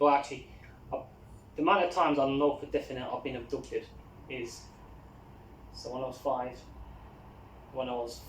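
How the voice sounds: Heard with audible room echo, the speech moves at a moderate pace. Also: man.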